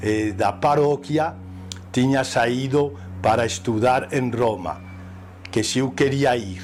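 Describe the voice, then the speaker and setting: Over background music, a man with a medium pitch and ordinary pitch movement talks very slowly, leaving long, frequent pauses. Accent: Spanish. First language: Spanish (speaking Portuguese). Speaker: priest. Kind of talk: interview testimony. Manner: halting.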